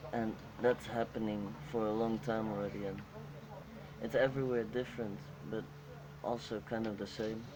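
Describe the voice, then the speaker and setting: A man with a Dutch accent speaks at a moderate pace in a medium pitch, with ordinary pitch variation and long, frequent pauses. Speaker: interviewee. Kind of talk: group interview. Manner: halting.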